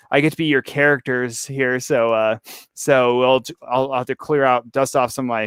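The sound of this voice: Against a quiet background, an unforced reading voice moves with fairly even intonation.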